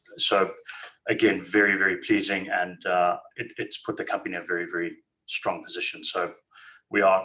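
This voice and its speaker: With a Zimbabwean accent, a man speaks at a fairly quick pace. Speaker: company managing director. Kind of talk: investor webinar presentation. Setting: webinar. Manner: hesitant, many fillers.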